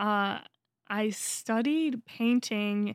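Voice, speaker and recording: Recorded dry and close with no echo on a very clean, silent background, a woman with an American accent speaks very slowly in a fairly high pitch with ordinary pitch variation. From US East Coast. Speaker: podcast co-host. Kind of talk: casual chat. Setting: studio.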